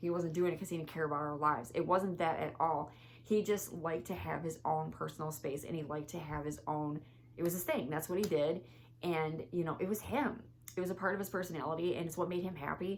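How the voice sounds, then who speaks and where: A woman's fairly low-pitched voice at a very fast pace. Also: ordinary pitch variation. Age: 30s. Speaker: vlogger. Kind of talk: casual vlog monologue. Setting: home, filming at closet. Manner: rambling, self-correcting.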